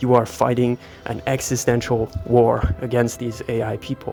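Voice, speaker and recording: Music plays in the background. A man talks at a medium pitch, and his voice sounds shaky. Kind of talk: improvised commentary while walking. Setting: outdoors. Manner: somewhat shaky.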